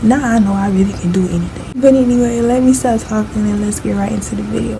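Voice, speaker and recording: Soft-spoken, a woman talks at a very fast pace. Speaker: makeup youtuber. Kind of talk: tutorial intro vlog. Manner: quiet, soft.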